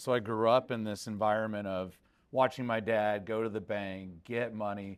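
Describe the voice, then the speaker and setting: On a very clean recording with a silent background, a man with an American accent speaks at a moderate pace in a fairly low, monotone, flat voice. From Texas, Houston area. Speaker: private equity investor. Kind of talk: panel discussion. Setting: stage with audience. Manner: loud.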